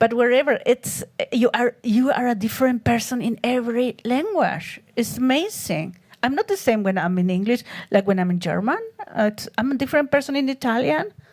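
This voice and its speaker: A woman's high, lively voice in a Spanish accent at a fairly quick pace, with noticeable background noise. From Chile. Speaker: artist. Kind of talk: interview on stage. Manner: halting.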